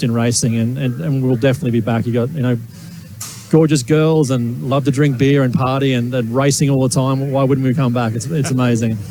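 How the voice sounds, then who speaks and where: A man with an Australian accent, fairly quick and fairly even in intonation, against noticeable background noise. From Australia, Gold Coast. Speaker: racing driver. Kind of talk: interview. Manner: hesitant, repeats words.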